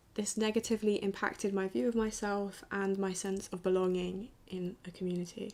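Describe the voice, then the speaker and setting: The speaker has a southern English accent and fairly even intonation. Delivery is fairly quick with hardly any pauses. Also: woman, medium pitch for a woman. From southern England, Brighton. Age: 20s. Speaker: student filmmaker. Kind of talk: documentary narration.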